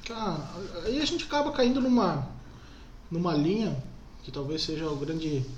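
A man talks at a moderate pace with ordinary pitch variation. The room echo is audible. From Brazil, Jaraguá do Sul (Santa Catarina). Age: 20s. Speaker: lawyer. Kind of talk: interview. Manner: halting, many fillers.

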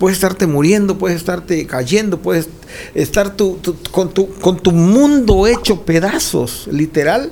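Over noticeable background noise, a man talks at a high pitch and fairly slow pace with ordinary pitch variation. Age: 60s. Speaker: pastor. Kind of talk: casual chat.

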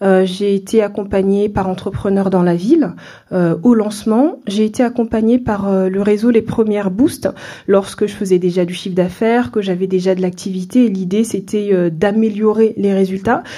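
Speaking at a moderate pace, a woman has a medium pitch, a dark, mellow tone and fairly even intonation. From France, Seine-Saint-Denis (Paris suburbs). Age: 30s. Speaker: entrepreneur, café owner. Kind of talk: interview.

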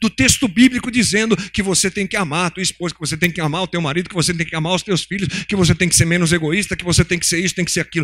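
In a dry, close sound with no echo, a man speaks at a very fast pace with a high pitch. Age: 50s. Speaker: pastor. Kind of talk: sermon. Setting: church.

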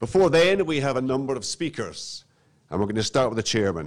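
Here is a man with an unremarkable speaking voice. He uses lively intonation at a moderate pace. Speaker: master of ceremonies. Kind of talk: ceremony introductions. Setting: stage with audience. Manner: formal.

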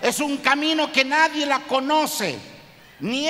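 A man speaks at a fairly slow pace in a raised, projected voice with an extremely high pitch. Noticeable background noise sits behind him. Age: 60s. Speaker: pastor. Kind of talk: sermon.

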